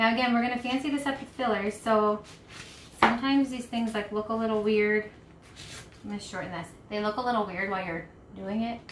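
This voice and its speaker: A woman with a fairly high pitch talks at a fairly quick pace, broken by long, frequent pauses, over noticeable background noise. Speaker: craft shop owner hosting live craft session. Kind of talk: live craft tutorial. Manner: casual, filler-heavy.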